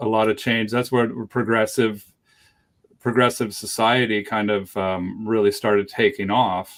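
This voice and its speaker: Very clean recording with a silent background, a man at medium pitch speaking fairly slowly in a monotone, flat delivery. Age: 40s. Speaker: dog trainer and show host. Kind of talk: interview conversation. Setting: live stream.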